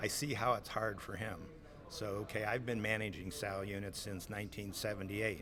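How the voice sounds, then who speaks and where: In a Midwestern US accent, a man talks fairly quickly with a fairly low pitch. His intonation stays fairly even, and room echo is audible. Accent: US Midwest. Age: 60s. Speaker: swine farm manager. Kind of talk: interview. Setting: conference.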